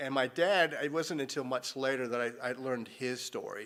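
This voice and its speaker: With a General American accent, a man talks in an unremarkable speaking voice at medium pitch, moderate pace and ordinary pitch variation. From Colorado. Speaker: missionary. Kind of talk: testimony.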